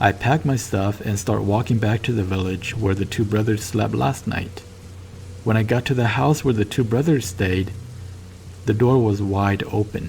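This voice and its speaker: A man with a Southeast Asian accent speaks at a moderate pace in a fairly low pitch. His pitch varies in an ordinary way, and there is noticeable background noise. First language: Hmong. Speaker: storyteller. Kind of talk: casual chat; first-person story narration. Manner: halting.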